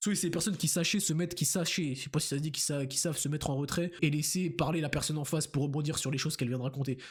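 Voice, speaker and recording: A man talks at a very fast pace with hardly any pauses. His fairly high voice is somewhat breathy, with fairly even intonation. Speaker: youtuber. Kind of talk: casual vlog monologue. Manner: halting, repeats words.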